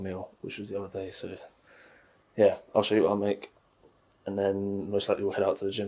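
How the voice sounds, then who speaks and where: A man with a British accent speaks at a fairly quick pace in a fairly low, dark and mellow voice, flat and monotone in intonation, with big swings in loudness and long, frequent pauses. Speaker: fitness vlogger. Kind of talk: casual vlog.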